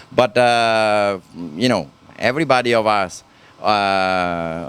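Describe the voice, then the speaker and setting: A man talks in an Italian accent with ordinary pitch variation. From Italy. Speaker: helicopter company owner and engineer. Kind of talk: interview. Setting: live at a hobby event. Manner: halting, many fillers.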